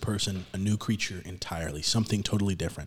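Somewhat breathy, the speech comes at a very fast pace with ordinary pitch variation. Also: man. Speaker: podcast host. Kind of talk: casual religious discussion podcast. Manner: casual, chatty.

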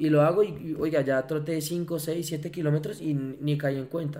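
A man talks in a monotone, flat intonation with a dark, mellow tone. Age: 20s. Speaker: entrepreneur, foundation director. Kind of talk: casual interview. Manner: hesitant, many fillers and repetitions.

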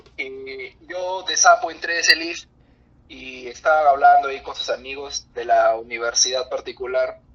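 Noticeable background noise accompanies a man speaking at a fairly slow pace. His loudness swings widely. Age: 20s. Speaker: geology graduate. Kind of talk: casual chat. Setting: video call.

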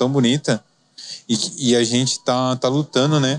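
A man with a plain, everyday voice, medium pitch and ordinary pitch variation, in a dry, close sound with no echo. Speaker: podcast host. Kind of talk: casual interview. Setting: studio.

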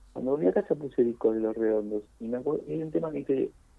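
Speaking with an Argentine accent, a man uses lively intonation. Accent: Rioplatense Argentine Spanish. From Argentina, Buenos Aires (Boedo). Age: 50s. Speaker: poet and writer. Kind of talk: interview.

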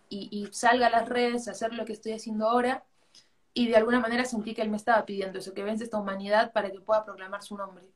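A woman with an Arequipa accent rushes along at a very fast pace, her fairly high voice held in monotone, flat intonation. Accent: Peruvian Spanish (Arequipa). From Peru, Arequipa. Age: 20s. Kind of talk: interview. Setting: live video call on social media.

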